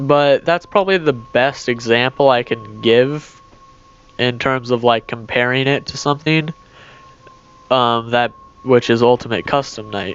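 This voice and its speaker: Music plays in the background. The speech has ordinary pitch variation and long, frequent pauses. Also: man, medium pitch for a man, fairly slow pace. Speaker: gaming youtuber. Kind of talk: gameplay commentary. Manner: slurs words together; hesitant, filler-heavy.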